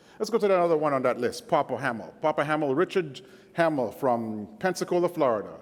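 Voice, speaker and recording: A man speaks very fast with a Caribbean accent and a fairly high pitch. His intonation is lively and his loudness very even. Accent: Caribbean accent, noticeable. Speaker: guest preacher. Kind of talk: sermon. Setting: church service. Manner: hesitant fillers, conversational.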